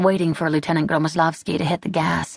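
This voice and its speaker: A woman talks at a moderate pace in a fairly low voice, her intonation fairly even. It is a normal speaking voice. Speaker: audiobook narrator. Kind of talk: dramatic audiobook narration of a wartime battle scene. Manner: tense, building urgency through short clipped sentences.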